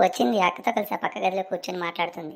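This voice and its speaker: A woman puts on a raspy character voice with a fairly low pitch. She talks at a very fast pace with ordinary pitch variation. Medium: cartoon. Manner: polite, deferential.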